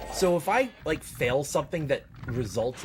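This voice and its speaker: Music in the background behind a man's fairly slow speech full of very wide pitch swings. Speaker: speedrunner streamer. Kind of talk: casual live-stream chat while gaming. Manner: mumbling at times.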